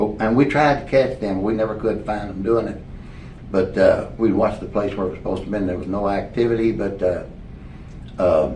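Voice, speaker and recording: A man with an American accent uses a normal speaking voice, fairly low in pitch, moving at a fairly quick pace with ordinary pitch variation. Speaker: former sheriff and county judge executive, musician. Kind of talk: oral history interview answer. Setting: library interview recording. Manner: casual, storytelling.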